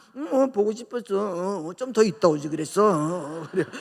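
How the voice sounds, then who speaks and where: A woman speaks with very wide pitch swings. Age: 60s. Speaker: pastor. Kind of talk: sermon. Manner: animated.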